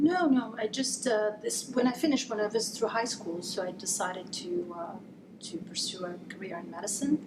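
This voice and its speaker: A woman's fairly high voice carries lively intonation at a moderate pace, with noticeable noise in the background. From Italy. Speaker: neurologist. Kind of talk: interview.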